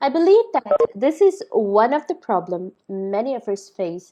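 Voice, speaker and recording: This voice has a dark, mellow tone and lively intonation. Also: woman. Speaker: lecturer. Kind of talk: lecture.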